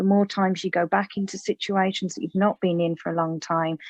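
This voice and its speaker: A woman with a West Midlands accent speaks at a fairly low pitch with monotone, flat intonation. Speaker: mental health therapist. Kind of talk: interview.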